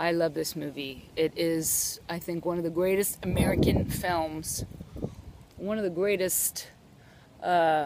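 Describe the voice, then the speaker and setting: Against light background noise with a dry sound and no echo, a woman speaks at a fairly slow pace and a fairly low pitch, with long, frequent pauses. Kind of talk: casual vlog chat. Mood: enthusiastic about a favorite film. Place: bicycle. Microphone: phone near.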